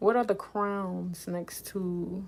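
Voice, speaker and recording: A woman with a New Orleans accent, medium in pitch, relaxed in tone, at a very slow pace. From New Orleans, Louisiana. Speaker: livestreamer and aspiring author. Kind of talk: casual livestream chat. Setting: live stream. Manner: relaxed, chatty with fillers.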